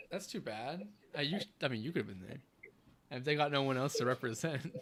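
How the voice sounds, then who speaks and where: A man with an American accent talks in an unremarkable speaking voice, fairly high in pitch, with lively intonation at a fairly quick pace. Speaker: live-stream show host. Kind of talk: casual chat. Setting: live stream.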